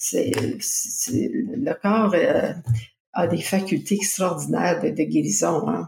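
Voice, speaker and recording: A woman speaks with a Quebec accent. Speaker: personal development coach and author. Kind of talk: interview. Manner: halting.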